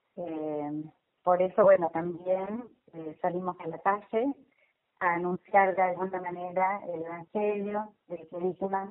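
Speaking very slowly, a woman keeps a fairly even intonation while her loudness swings widely. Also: medium pitch for a woman. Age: 60s. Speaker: lay church volunteer. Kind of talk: interview. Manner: halting.

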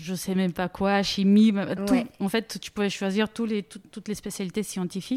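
Speech with a Bulgarian accent has fairly even intonation and big swings in loudness, on a very clean recording with a silent background and a dry, close sound with no echo. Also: woman, medium pitch for a woman, moderate pace. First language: Bulgarian (speaking French). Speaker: data product manager. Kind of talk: interview. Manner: halting.

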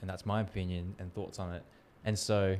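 At a moderate pace, a man speaks in an ordinary speaking voice, fairly low in pitch, with fairly even intonation. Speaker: podcast host. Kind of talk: casual interview chat.

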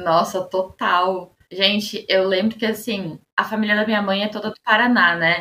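Hardly pausing, a woman speaks at a fairly slow pace in a medium pitch, her tone bright and sharp and her intonation monotone and flat. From Osasco, São Paulo state, Brazil. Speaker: researcher and master's student. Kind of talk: casual chat.

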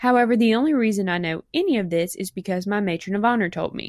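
In a Mississippi accent, a woman speaks fairly quickly at a medium pitch. Her intonation is lively, and the recording is very clean with a silent background. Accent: Mississippi southern. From US South, South Mississippi. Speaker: bride-to-be sending a voice message. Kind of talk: recorded voice message.

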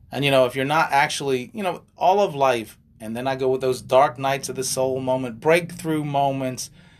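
Moderate in pace, the speech has a plain, everyday voice and ordinary pitch variation. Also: man, medium pitch for a man, hardly any pauses. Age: 50s. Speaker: life and relationship coach, podcast co-host. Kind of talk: casual chat.

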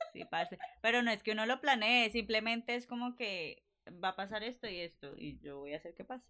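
A woman's fairly high, bright and sharp voice, animated in tone, lively in intonation, with big swings in loudness. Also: fairly quick pace. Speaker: podcast co-host. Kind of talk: casual chat.

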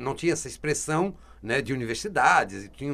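Vocal fry runs through fairly quick speech in a very clean recording with a silent background. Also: man. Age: 40s. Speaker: radio host and coach. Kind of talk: live-read ads; radio interview. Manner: animated.

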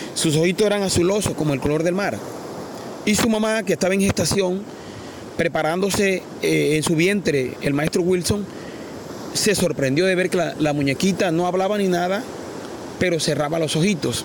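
A man's high-pitched voice with ordinary pitch variation, very even loudness, long, frequent pauses and noticeable background noise. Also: moderate pace. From Colombia, La Guajira coast. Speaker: artisanal fisherman. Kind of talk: interview storytelling. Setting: outdoors by the sea.

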